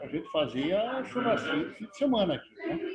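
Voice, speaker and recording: At a moderate pace, a man speaks with very wide pitch swings. Noticeable background noise runs underneath. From Rio Grande do Sul, southern Brazil. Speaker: Rotary district governor. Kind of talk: casual remarks at virtual meeting. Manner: halting, repeats words.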